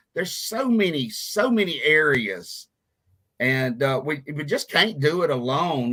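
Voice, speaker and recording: A man's fairly high, bright, sharp voice with lively intonation and a Southern US accent. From US South, Mississippi (Meridian). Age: 50s. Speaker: radio show host, recovery ministry leader. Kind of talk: casual talk show conversation. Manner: casual, halting with fillers.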